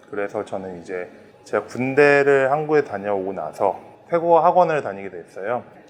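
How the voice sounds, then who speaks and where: Speaking at a moderate pace over noticeable background noise, a man with a medium pitch shows very wide pitch swings and big swings in loudness. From Thailand (Bangkok), Korean family. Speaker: Korean grocery store owner. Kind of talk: interview testimony.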